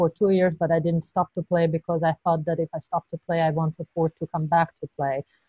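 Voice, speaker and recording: Against a quiet background with a dry sound and no echo, a woman with a Georgian accent talks at a fairly quick pace with hardly any pauses, her fairly low voice somewhat breathy and her intonation monotone and flat. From Georgia (Tbilisi). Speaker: professional tennis player; interviewee. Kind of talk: interview. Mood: reflective, candid. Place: home room. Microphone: video call.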